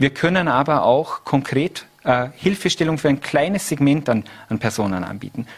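With lively intonation and a fairly high pitch, a man talks while noticeable background noise plays behind him. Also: moderate pace. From Austria, Vorarlberg (Lustenau). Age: 30s. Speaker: politician. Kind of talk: TV interview. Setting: studio.

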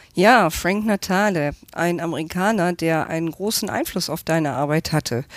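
A woman's unremarkable speaking voice with lively intonation at a fairly slow pace, dry and close with no echo, in a very clean recording with a silent background. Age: 50s. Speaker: interviewer. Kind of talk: interview.

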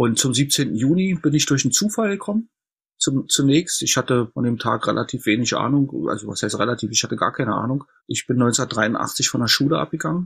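A man talks at a moderate pace in a medium, somewhat breathy voice with lively intonation. The recording is very clean, with a silent background. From East Berlin, Germany. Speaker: historian. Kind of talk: interview.

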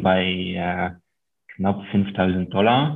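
A man speaks with a slight French accent. His pitch varies in an ordinary way. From Luxembourg. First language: Luxembourgish (speaking German). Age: 30s. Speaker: investor and author. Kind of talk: interview.

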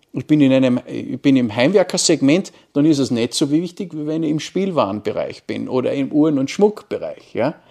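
This man has an ordinary speaking voice with fairly high pitch, ordinary pitch variation and a moderate pace. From Austria, Carinthia (Wolfsberg). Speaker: marketing professor. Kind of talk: interview. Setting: university campus.

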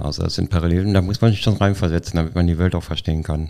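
His voice is very deep and low in pitch, and this man's tone is dark and mellow. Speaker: formerly homeless co-author. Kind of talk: casual interview.

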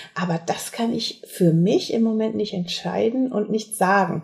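This woman's medium-pitched voice is somewhat breathy, with ordinary pitch variation. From Sauerland, western Germany. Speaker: competitive minigolf player. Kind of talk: interview.

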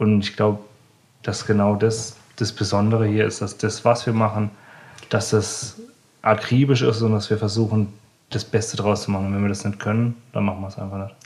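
The speaker is somewhat breathy and monotone, flat in intonation, keeping a moderate pace broken by long, frequent pauses. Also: man, fairly low pitch for a man. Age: 20s. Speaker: chef. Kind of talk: interview. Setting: in the restaurant. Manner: halting.

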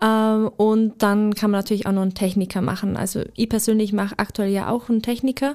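At a fairly quick pace with hardly any pauses, a woman speaks at a fairly high pitch with monotone, flat intonation and very even loudness, on a very clean recording with a silent background. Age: 20s (24). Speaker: apprentice trainer. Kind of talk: interview.

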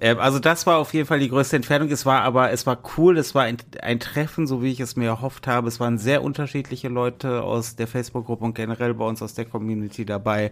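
Speaking at a very fast pace with hardly any pauses, a man keeps his intonation fairly even. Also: medium pitch for a man. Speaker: podcast host. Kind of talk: casual chat.

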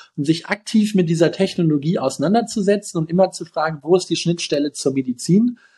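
A dark, mellow tone at a moderate pace. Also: man. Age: 20s. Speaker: physician and health-tech founder. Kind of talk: interview.

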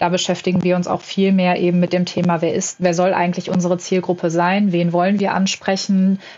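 A woman speaks at a fairly quick pace and a medium pitch, in a flat monotone with very even loudness. Noticeable background noise is present. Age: 20s. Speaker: management consultant. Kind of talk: podcast interview.

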